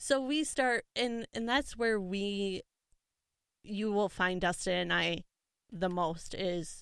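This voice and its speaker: A woman with an Upper Midwest accent on a very clean recording with a silent background. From Minnesota, Litchfield. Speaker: 4-H advisor. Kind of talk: casual interview. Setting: studio.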